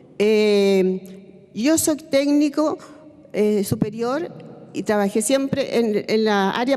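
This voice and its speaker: Noticeable background noise beneath a woman speaking at a fairly high pitch. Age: 70s. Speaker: retired hospital technician. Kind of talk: testimony at a public seminar. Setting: seminar panel, televised. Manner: halting, with hesitations and restarts.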